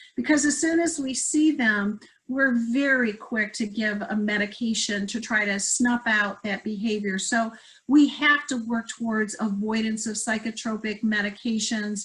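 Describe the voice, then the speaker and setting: With a plain, everyday voice, a woman speaks at a moderate pace, her fairly high pitch showing ordinary pitch variation. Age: 60s. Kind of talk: presentation. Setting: virtual symposium.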